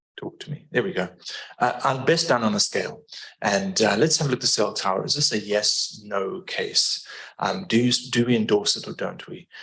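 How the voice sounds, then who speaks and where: A man speaks in a South African accent at a moderate pace. His pitch is medium, with very wide pitch swings. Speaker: environmental engineering consultant. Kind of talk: public meeting presentation.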